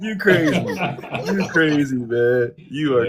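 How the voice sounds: A man speaks at a very slow pace with lively intonation. Noticeable background noise runs underneath.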